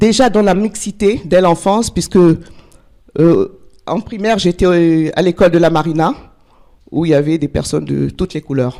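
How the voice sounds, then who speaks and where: The speaker is a woman with a fairly low pitch. Her tone is dark and mellow. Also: ordinary pitch variation, fairly slow pace. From Togo (West Africa). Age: 60s. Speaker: life coach, conference speaker. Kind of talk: personal testimony talk. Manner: halting, with fillers.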